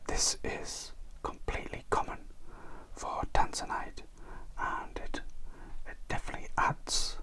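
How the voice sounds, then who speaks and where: Whispering at a very slow pace in a calm tone, a man is heard over noticeable background noise. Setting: studio. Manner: soft-spoken, slow, calm.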